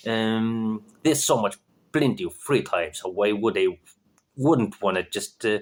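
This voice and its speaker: Speaking with a non-native accent at a fairly slow pace, a man keeps a fairly low pitch. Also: very clean recording, silent background. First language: not English. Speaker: vlogger practicing English. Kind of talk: casual monologue. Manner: halting, many fillers.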